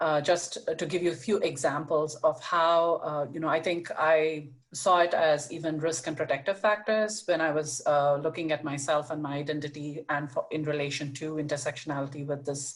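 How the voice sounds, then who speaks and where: Speaking at a moderate pace with hardly any pauses, a woman uses fairly even intonation in a very deep, low pitch. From India. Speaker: panelist, prevention professional. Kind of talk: panel presentation. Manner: hesitant, many fillers.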